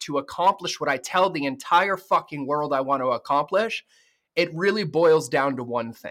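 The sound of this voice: At a moderate pace, a man speaks with a bright, sharp tone, fairly high pitch and ordinary pitch variation.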